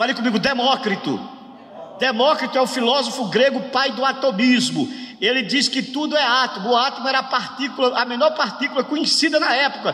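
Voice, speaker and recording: Over noticeable background noise, a man with an extremely high-pitched voice speaks at a fairly quick pace with fairly even intonation. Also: very even loudness. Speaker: pastor teaching a workshop. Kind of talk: bible lecture. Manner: call-and-response with audience.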